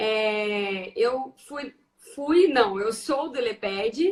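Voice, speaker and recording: The speaker has a rural Brazilian accent and ordinary pitch variation. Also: woman. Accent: Brazilian interior. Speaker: teacher and education researcher. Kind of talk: casual chat. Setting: video call.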